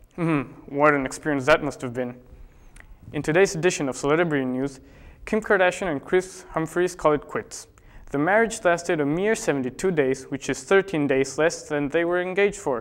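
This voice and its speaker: A man with a plain, everyday voice talks at a fairly quick pace. His pitch is fairly high, with ordinary pitch variation. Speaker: spoof news anchor. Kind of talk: mock news broadcast, satirical anchor delivery.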